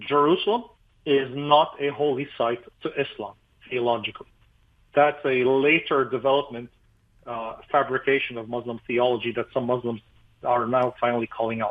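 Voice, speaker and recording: A man's medium-pitched voice with an Arabic accent, fairly even intonation, a moderate pace and long, frequent pauses. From Lebanon. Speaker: pastor. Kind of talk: radio interview.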